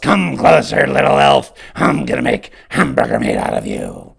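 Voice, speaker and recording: A put-on character voice growls in a raspy, menacing tone. The delivery moves at a moderate pace. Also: man, very deep, low pitch for a man. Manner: menacing, snarling.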